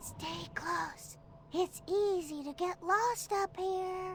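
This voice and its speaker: Over clear background noise, a squeaky, put-on character voice at an extremely high pitch talks at a very slow pace. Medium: video game. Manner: friendly, reassuring.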